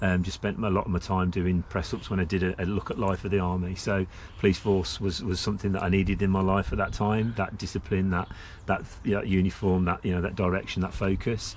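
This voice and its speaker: A man's very deep, low voice with a slight West Midlands accent, very fast pace, monotone, flat intonation and very even loudness. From Staffordshire, England. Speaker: senior police officer. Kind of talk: interview. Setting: outdoor shelter in a memorial garden. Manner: hesitant, many fillers.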